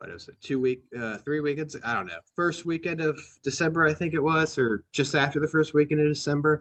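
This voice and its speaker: An American accent at a fairly quick pace, with big swings in loudness, ordinary pitch variation and hardly any pauses. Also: man, fairly high pitch for a man. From US Midwest, Ohio. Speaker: football podcast host. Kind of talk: casual chat. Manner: halting, many fillers and restarts.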